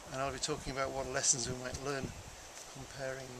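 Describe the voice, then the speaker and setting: There is noticeable background noise. A man speaks at medium pitch. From England. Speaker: primatologist, conservationist. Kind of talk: TV interview. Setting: outdoors by a lake in a state park. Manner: hesitant, frequent ums and uhs.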